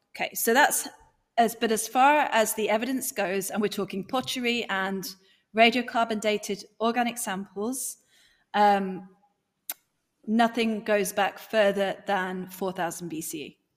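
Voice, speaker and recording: A woman's fairly high voice in a strong British accent, fairly slow, with ordinary pitch variation. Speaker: YouTuber guest. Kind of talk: casual chat.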